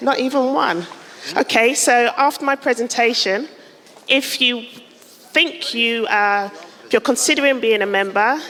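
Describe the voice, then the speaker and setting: A woman speaks at a moderate pace with ordinary pitch variation, noticeable background noise sounding behind her. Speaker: architect and professional body director. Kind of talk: conference presentation.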